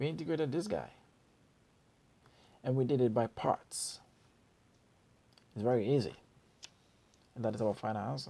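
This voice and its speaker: A man with a non-native accent speaks at a moderate pace with long, frequent pauses, his medium-pitched, dark, mellow voice showing vocal fry and lively intonation. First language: not English. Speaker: math tutor. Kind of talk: tutorial. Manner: casual.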